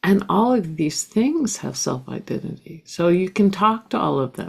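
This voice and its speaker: Vocal fry runs through this woman's voice. Her pitch rises and falls very widely. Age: 60s. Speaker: spiritual teacher. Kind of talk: interview.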